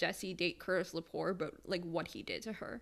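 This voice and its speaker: In a normal speaking voice, a woman with an American accent talks at a moderate pace and a medium pitch. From Michigan. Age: 20s. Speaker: podcast co-host. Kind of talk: casual chat.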